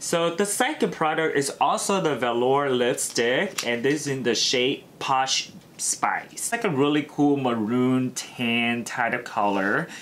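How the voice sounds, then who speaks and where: A man speaks at a medium pitch at a fairly slow pace, with hardly any pauses. His pitch varies in an ordinary way, and there is noticeable background noise. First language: not English. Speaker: beauty YouTuber. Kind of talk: unboxing product review. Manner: casual, filler-heavy.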